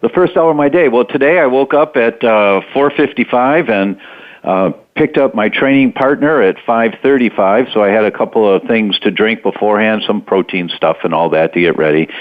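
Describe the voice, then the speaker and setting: A man's an ordinary speaking voice, medium in pitch, with lively intonation, a moderate pace and very even loudness. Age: 60s. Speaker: doctor and health author. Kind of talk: interview. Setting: radio interview.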